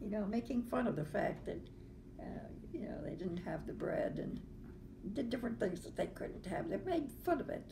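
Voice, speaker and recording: A woman talks at an even, moderate speed while clear background noise carries on behind her. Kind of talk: casual conversation.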